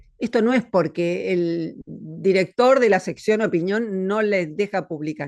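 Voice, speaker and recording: In an unremarkable speaking voice, a woman speaks at a medium pitch and fairly slow pace with ordinary pitch variation and hardly any pauses, against a quiet background. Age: 60s. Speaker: philosopher. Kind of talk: interview conversation.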